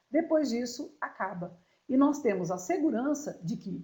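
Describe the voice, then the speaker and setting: A woman speaks in a somewhat breathy, dark and mellow tone with lively intonation. Audible room echo surrounds her voice. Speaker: law lecturer. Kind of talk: lecture.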